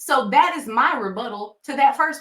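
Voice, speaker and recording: The speaker has a Southern US accent and a bright, sharp tone. The delivery is fairly slow. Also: woman. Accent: Southern twang. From Tennessee, US South. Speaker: nurse and coach for healthcare professionals. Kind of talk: vlog advice talk. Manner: conversational, uses fillers like um.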